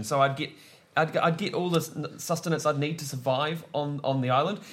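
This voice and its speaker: In a plain, everyday voice, a man with a fairly high pitch speaks at a fairly quick pace. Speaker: improviser, comedian and arts marketer. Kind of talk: comedy quiz show, casual banter.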